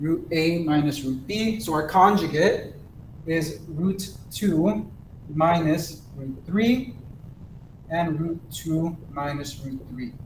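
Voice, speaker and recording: A man with fairly high pitch speaks at a very slow pace amid audible room echo. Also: ordinary pitch variation. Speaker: math teacher. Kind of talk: lecture. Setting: recorded online class.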